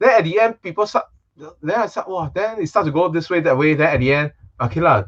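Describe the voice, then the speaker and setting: Fairly high-pitched, a man with a Singaporean accent talks at a fairly quick pace with lively intonation. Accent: Singaporean English with Singlish particles. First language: Chinese. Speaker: magician. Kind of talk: casual chat.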